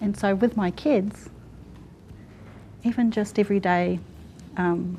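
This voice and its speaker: Her voice is dark, mellow, and somewhat breathy at a medium pitch. The woman speaks at a fairly slow pace with fairly even intonation. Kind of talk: panel discussion.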